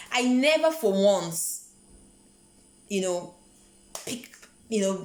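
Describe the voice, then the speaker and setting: A woman with a medium-pitched voice speaks with lively intonation. Room echo is audible and background noise is noticeable. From Nigeria. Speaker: vlogger. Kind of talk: motivational vlog talk. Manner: conversational, repeats words.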